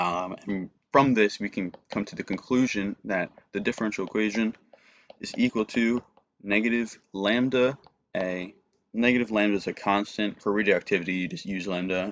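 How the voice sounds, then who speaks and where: This man's voice sits at a fairly low pitch. The intonation is fairly even throughout. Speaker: student tutor. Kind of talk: tutorial. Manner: fast.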